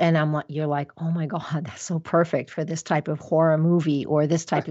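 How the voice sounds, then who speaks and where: Very deep, low pitch from a woman speaking at a fairly quick pace. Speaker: astrologer. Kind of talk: casual chat. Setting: radio show. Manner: loud; animated.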